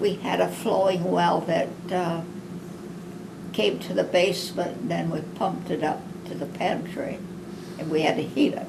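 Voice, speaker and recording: Long, frequent pauses break up speech at a moderate pace, with noticeable background noise and audible room echo. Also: woman, fairly low pitch for a woman, ordinary pitch variation. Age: 90s. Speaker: wartime factory worker. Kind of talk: oral history interview. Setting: at home.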